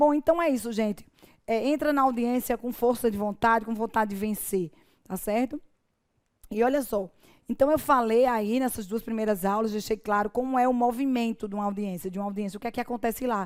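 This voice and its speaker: Talking at a fairly quick pace, a woman with a Paraíba accent has a fairly high pitch and ordinary pitch variation. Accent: Paraíba (northeastern Brazilian). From Paraíba, Brazil. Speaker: judge and law teacher. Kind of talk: online course lecture. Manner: informal, conversational.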